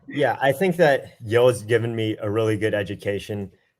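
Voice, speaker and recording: An unremarkable speaking voice from a man with an American accent, fairly even intonation, and a fairly quick pace. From US South, Georgia. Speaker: military officer and recent graduate. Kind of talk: webinar interview.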